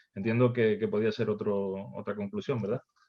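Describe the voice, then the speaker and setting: With a Canarian accent, a man talks at a moderate pace in a medium pitch. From Canary Islands, Tenerife. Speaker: session moderator. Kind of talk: virtual workshop discussion. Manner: halting, many repetitions.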